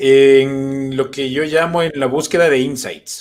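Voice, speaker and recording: With fairly even intonation and a medium pitch, a man has an unremarkable speaking voice. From Ecuador. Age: 30s. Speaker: comedian. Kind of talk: casual chat.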